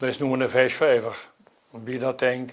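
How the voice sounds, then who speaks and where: A man speaks at a moderate pace. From Dutch Limburg, Elsloo. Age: 80s. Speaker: local historian. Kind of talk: oral history interview.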